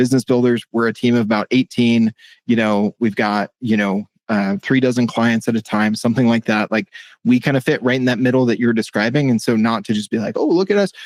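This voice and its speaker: An ordinary speaking voice at a moderate pace, in a very clean, dry, close recording with a silent background and no echo. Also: man. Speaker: podcast co-host, agency sales lead. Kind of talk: casual chat.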